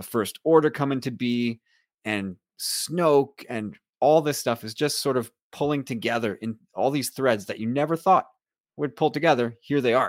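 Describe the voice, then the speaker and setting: With a plain, everyday voice, a man speaks at a moderate pace and medium pitch with ordinary pitch variation, recorded very cleanly against a silent background. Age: 40s. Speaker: podcaster. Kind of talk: casual chat.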